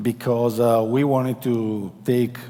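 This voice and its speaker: This man speaks with an Italian accent at a very slow pace. His pitch is medium. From Italy. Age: 40s. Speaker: company executive. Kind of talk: conference presentation. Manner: halting.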